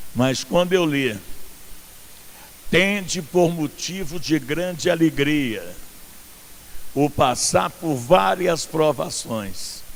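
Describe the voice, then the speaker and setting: With long, frequent pauses, a man speaks at a very slow pace in a fairly high pitch, his intonation lively. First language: not Portuguese (speaking Portuguese). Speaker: pastor. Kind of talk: sermon. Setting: outdoor church event with congregation.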